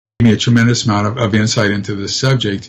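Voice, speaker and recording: A man's voice that is somewhat breathy. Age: 70s. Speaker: abduction researcher and retired professor. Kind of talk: interview. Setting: live stream talk show. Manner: halting, many fillers and repeats.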